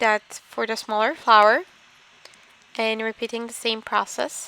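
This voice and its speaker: The tone is bright and sharp, at a fairly slow pace. The sound is dry and close with no echo. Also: woman. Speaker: card making crafter. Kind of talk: tutorial. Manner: halting, many fillers.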